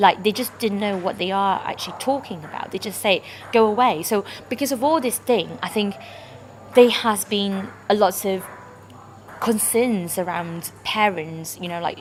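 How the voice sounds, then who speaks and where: Against noticeable background noise, a woman speaks at a moderate pace and medium pitch with ordinary pitch variation. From Malaysia. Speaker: international student campaigner. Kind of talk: personal talk to camera. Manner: halting, with frequent fillers.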